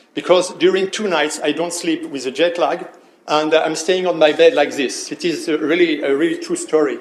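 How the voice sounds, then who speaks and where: With noticeable background noise, a man speaks at a high pitch, a moderate pace and fairly even intonation. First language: not English. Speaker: trademark attorney. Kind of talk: conference presentation. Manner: halting, many fillers.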